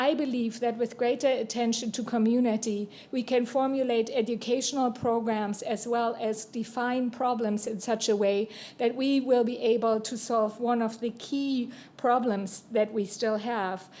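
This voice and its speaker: Noticeable background noise sits behind a woman speaking with a German accent. Her fairly high voice moves at a moderate pace with monotone, flat intonation. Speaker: university dean. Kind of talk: panel remarks. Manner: formal.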